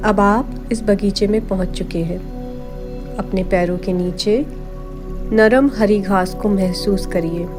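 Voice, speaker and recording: Music plays in the background as a woman speaks in a calm, soothing tone. Her pitch is medium, with ordinary variation. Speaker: meditation guide. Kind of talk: guided meditation narration. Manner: slow, calm, soothing.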